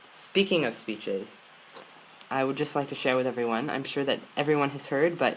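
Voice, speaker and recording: With an American accent, a man talks at a fairly high pitch and ordinary pitch variation. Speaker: vlogger. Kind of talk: personal vlog. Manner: halting.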